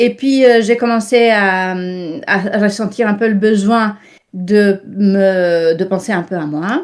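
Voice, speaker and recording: Pitch varies in an ordinary way as the words arrive very slowly. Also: woman, medium pitch for a woman. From Italy. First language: Italian (speaking French). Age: 60s. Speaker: interview guest, online wellness worker. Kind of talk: interview.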